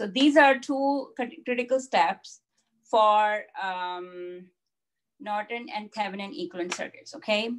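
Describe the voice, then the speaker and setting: A woman speaks at a fairly slow pace with lively intonation. Light background noise can be heard. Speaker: instructor. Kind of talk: lecture. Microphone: video call.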